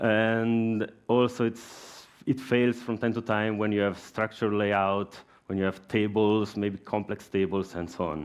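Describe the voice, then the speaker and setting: With an Italian accent, a man talks using fairly even intonation. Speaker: software engineer. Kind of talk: conference talk. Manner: halting.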